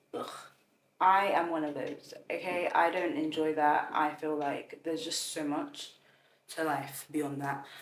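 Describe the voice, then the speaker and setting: With audible room echo, a woman speaks in a very deep, low pitch at a very slow pace, keeping her intonation fairly even. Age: 20s. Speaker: content creator. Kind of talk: casual vlog talk to camera. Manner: casual, filler-heavy, self-correcting.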